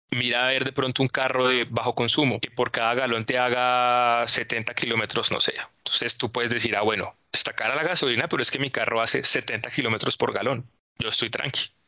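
Monotone and flat, a man speaks at a medium pitch and fairly quick pace with very even loudness. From Colombia, Neiva. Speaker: oil and gas analyst. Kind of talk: explanatory interview.

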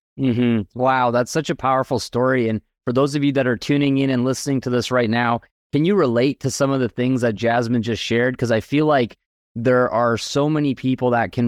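A man with a normal speaking voice talks at a fairly quick pace with medium pitch and fairly even intonation. The sound is dry and close with no echo, and the background is quiet. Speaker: podcast host and business mentor. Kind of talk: podcast interview, promotional.

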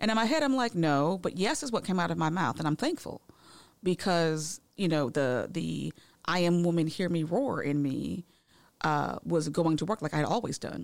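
In a very clean recording with a silent background, a woman with an American accent speaks at a fairly low pitch, using vocal fry and lively intonation. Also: moderate pace. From Massachusetts. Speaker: heart attack survivor and educator. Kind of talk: interview testimony.

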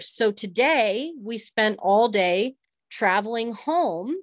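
This woman has a fairly high pitch. She speaks with an American accent. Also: quiet background. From US West, Northern California. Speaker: rancher. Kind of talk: interview. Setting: remote call while traveling.

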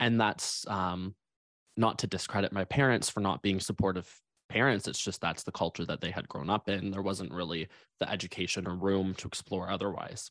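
This man's voice is very deep and low, with fairly even intonation at a moderate pace. The sound is dry and close with no echo, over a quiet background. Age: 20s. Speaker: transformational coach and stylist. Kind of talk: interview.

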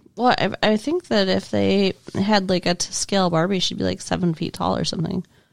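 A woman at a moderate pace with hardly any pauses, noticeable background noise, and a dry, close sound with no echo. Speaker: podcast co-host. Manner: dry, sarcastic.

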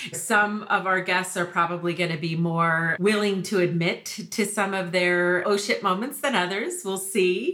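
An ordinary speaking voice at a moderate pace, with hardly any pauses and fairly even intonation. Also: woman, medium pitch for a woman. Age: 50s. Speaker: marketing agency co-founder and podcast co-host. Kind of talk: casual chat.

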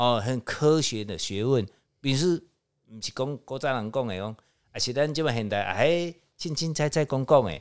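In a very clean recording with a silent background, a man with a medium pitch has an unremarkable speaking voice with ordinary pitch variation. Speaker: feng shui consultant. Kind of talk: casual chat. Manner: filler-heavy, drawn-out particles.

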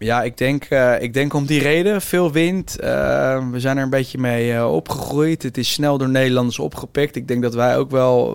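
A man at a medium pitch with ordinary pitch variation, talking at a moderate pace with hardly any pauses over noticeable background noise. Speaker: entrepreneur. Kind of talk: interview.

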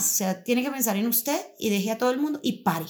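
Fairly high female speech, fairly quick in tempo, with pitch that varies in an ordinary way. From Colombia, Boyacá (Muzo). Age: 40s. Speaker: schoolteacher. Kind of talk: personal testimony interview. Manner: halting, with frequent repetitions.

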